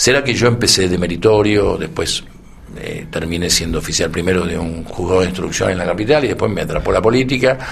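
Noticeable background noise and audible room echo surround a man with a very deep, low pitch. He speaks fairly quickly with ordinary pitch variation. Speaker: veteran politician. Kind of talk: interview. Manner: halting.

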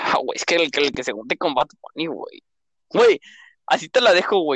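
The sound is close and dry, without any echo. A man delivers his words at a moderate pace. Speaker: podcast co-host. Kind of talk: casual chat.

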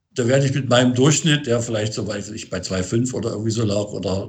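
This is a man's voice, pitched in the middle range. There is some breathiness to it. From Thuringia, Germany (Gotha district). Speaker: band and tour manager. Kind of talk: interview. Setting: remote call. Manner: halting, many fillers and repetitions.

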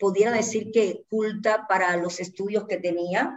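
A woman with an ordinary speaking voice talks at a fairly high pitch and a fairly slow pace. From Cuba, Santa Clara. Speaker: dancer and choreographer. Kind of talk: casual interview.

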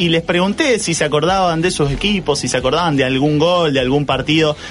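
Music plays in the background. Over it, a man speaks at a fairly quick pace. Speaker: radio panelist. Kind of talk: radio panel segment. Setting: radio studio.

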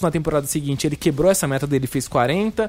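A man's animated tone comes across against noticeable background noise. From São Paulo metro area, Brazil. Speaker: student radio host. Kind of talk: casual chat. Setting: virtual round table.

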